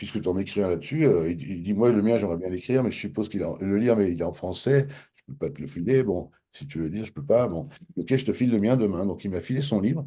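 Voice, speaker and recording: Against a quiet background, a man with a dark, mellow tone and fairly low pitch talks at a very fast pace with lively intonation. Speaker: author of a self-development method. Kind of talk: interview storytelling. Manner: casual, hesitant with fillers and repetitions.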